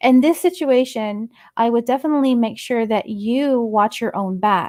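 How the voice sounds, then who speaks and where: A woman speaks with a fairly high pitch and ordinary variation in it. The sound is dry and close with no echo, and it is a normal speaking voice. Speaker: psychic medium, radio show host. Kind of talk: psychic reading, radio call-in advice. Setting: radio show / online stream. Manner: conversational, candid, reassuring.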